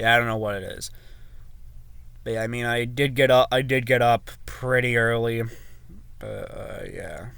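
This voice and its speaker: With an American accent, a man speaks at a moderate pace with long, frequent pauses. Audible room echo comes through in the recording. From USA. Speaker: sports tipping vlogger. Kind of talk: casual sports predictions monologue. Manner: hesitant, filler-heavy.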